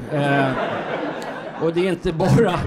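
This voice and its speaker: This man's voice sits fairly high in pitch and shows ordinary pitch variation. There is light background noise. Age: 60s. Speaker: comedian. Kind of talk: stand-up. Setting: stage with audience. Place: stage. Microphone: handheld.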